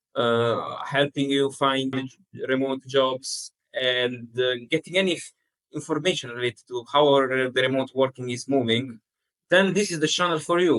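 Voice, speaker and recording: A man's medium-pitched voice with a non-native accent, ordinary pitch variation, and a dry, close sound with no echo. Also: moderate pace. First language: not English. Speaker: podcast co-host, remote worker. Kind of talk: casual chat. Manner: halting.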